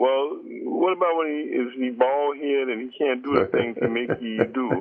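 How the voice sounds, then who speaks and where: A man at medium pitch and a moderate pace, with ordinary pitch variation and noticeable background noise. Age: 60s. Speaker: caller. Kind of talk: casual chat. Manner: animated; halting.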